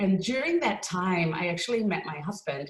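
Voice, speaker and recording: A woman in an Australian accent, fairly low in pitch, at a moderate pace. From Australia, Melbourne. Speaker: lawyer and parent speaker. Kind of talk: webinar talk. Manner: frequent filler words (um).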